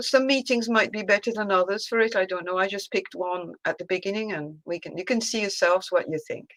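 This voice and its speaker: A woman speaks at a medium pitch with ordinary pitch variation, on a very clean recording with a silent background. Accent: French. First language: French. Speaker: discussion group member. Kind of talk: casual chat. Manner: halting.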